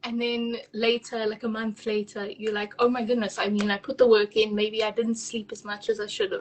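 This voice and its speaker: A woman speaks at a moderate pace with a fairly high pitch. Her intonation is monotone and flat. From South Africa. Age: 20s. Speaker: virtual assistant business owner. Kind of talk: casual interview. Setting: live video call.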